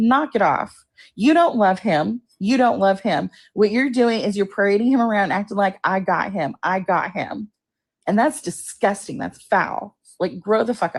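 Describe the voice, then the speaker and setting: Over a quiet background, a woman puts on a raspy character voice at medium pitch, with lively intonation and a moderate pace. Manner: angry, ranting.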